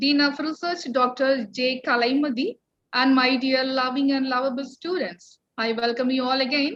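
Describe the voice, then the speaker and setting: Fairly even intonation accompanies a moderate speaking pace. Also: woman, high pitch for a woman. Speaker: college principal. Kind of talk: welcome speech. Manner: formal.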